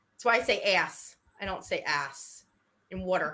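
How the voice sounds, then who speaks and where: In a very clean recording with a silent background, a woman of medium pitch speaks at a fairly slow pace in a bright, sharp tone. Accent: slight New York. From New York area, US Northeast. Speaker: livestream co-host. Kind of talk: casual chat. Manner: animated.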